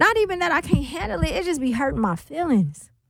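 A woman with a high pitch and vocal fry talks with big pitch swings. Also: fairly quick pace.

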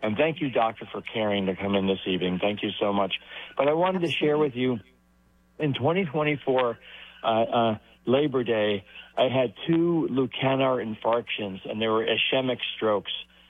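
Lively intonation marks this man's speech. He holds a medium pitch at a moderate pace.

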